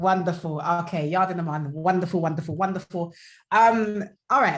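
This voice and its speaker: Lively in intonation and somewhat breathy, a woman with a London accent speaks at a medium pitch and a moderate pace. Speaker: podcast host. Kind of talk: interview.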